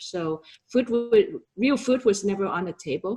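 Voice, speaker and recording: A woman is speaking. She has a Vietnamese accent. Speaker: realtor and entrepreneur. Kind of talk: interview.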